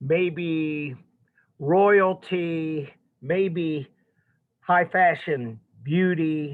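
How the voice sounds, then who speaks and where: A man's fairly high voice at a very slow pace, with long, frequent pauses. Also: fairly even intonation. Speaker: art history teacher. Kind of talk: lecture. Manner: loud.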